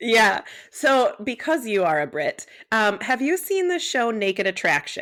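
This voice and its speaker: A woman with an American accent talks at a fairly slow pace with a fairly high pitch. Her pitch swings very widely while her loudness stays very even. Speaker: podcast host and nurse practitioner. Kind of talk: casual chat. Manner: animated.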